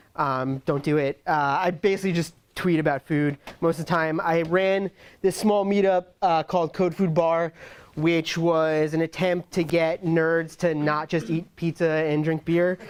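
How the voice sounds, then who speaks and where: A man's high-pitched voice with a New York accent, monotone and flat, at a very even loudness, in a dry, close recording with no echo. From New York (Brooklyn). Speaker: tech executive and conference speaker. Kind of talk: tech talk.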